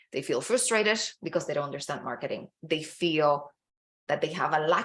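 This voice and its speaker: A woman speaks with a non-native accent. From Dominican Republic. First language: Spanish. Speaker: business coach. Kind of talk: online masterclass presentation. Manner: enthusiastic, encouraging.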